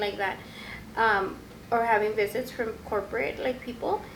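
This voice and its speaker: A woman with a Spanish accent talks at a fairly high pitch and a moderate pace, with fairly even intonation and audible room echo. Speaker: podcast co-host, store manager. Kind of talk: casual chat.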